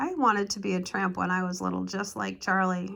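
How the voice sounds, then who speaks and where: This woman uses a put-on character voice that sounds raspy. Her pitch is medium and her pace fairly quick. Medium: read story. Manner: nostalgic, mildly disapproving.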